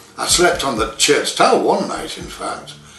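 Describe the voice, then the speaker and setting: Over noticeable background noise and audible room echo, a man with a Yorkshire accent speaks at a moderate pace. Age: 80s+. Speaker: war veteran. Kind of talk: personal memoir. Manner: halting.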